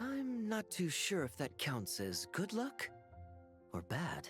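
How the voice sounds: In a put-on character voice, a man speaks slowly and high in pitch, his fairly bright tone making very wide pitch swings over faint background music.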